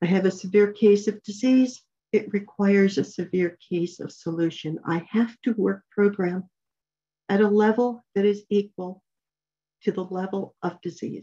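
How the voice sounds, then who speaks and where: A woman's medium-pitched voice, dark and mellow in tone, at a moderate pace with fairly even intonation. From New Mexico. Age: 70s. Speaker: speaker at a recovery meeting. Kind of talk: personal recovery talk. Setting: online video meeting.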